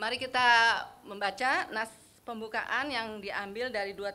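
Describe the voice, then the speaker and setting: The voice has a bright, sharp tone and ordinary pitch variation. It moves at a moderate pace. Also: woman. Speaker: women's fellowship leader. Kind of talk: casual church fellowship talk.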